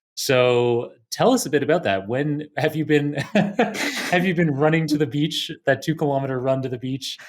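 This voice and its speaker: In a Canadian accent, a man with an unremarkable speaking voice and a fairly high pitch talks at a moderate pace with ordinary pitch variation and hardly any pauses. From Toronto, Canada. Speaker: podcast host. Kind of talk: interview.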